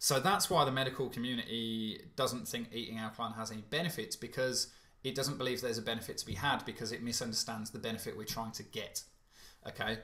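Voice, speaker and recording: A British accent with a bright, sharp tone, at a very fast pace with ordinary pitch variation. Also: man, medium pitch for a man. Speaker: alkaline diet coach. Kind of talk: webinar Q&A. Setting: online webinar.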